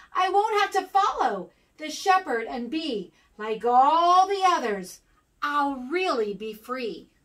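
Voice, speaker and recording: A woman puts on a character voice, speaking high with very wide pitch swings. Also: fairly slow pace. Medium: read story.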